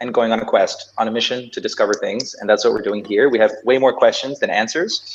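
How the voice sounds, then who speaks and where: A man with a North American accent. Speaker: podcast co-host. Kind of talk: casual chat.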